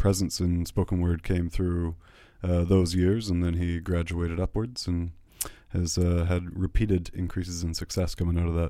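In a Canadian accent, a man with a very deep, low pitch and a dark, mellow tone speaks at a moderate pace in a monotone, flat intonation on a very clean recording with a silent background. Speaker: festival director. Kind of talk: interview. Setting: studio.

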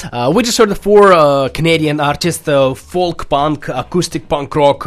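Speaking in a Russian accent, a man uses lively intonation. His pitch is fairly high. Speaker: radio host. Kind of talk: radio interview. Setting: studio.

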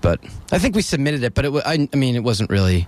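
A man with an American accent, very fast pace and lively intonation. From US Northeast, Dover. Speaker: rock musician. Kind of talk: casual interview.

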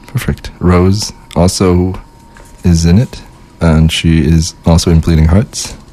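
With a very deep, low pitch, a man speaks in fairly even intonation and very even loudness, leaving long, frequent pauses over noticeable background noise. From Winnipeg, Canada. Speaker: guest co-host, local music organizer. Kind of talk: casual chat. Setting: studio.

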